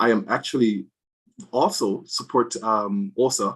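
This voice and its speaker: Speaking at a medium pitch with ordinary pitch variation, a man talks with a Jamaican accent. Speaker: physician in drug safety. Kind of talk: panel discussion.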